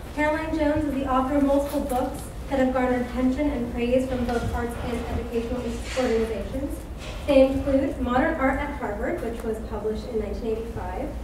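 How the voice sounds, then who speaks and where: A woman's high-pitched voice with fairly even intonation, plus audible room echo and noticeable background noise. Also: fairly quick pace. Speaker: event host introducing speaker. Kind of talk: speaker introduction read aloud. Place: hall.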